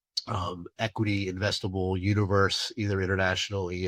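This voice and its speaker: A man with a very deep, low pitch at a moderate pace, over a quiet background. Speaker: chief investment officer presenting market update. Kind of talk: webinar presentation. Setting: webinar. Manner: hesitant, many fillers.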